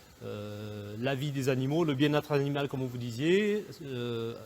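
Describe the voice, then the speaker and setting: Fairly slowly, a man speaks in a somewhat high voice. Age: 40s. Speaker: goat farmer. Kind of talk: interview. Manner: hesitant, many fillers.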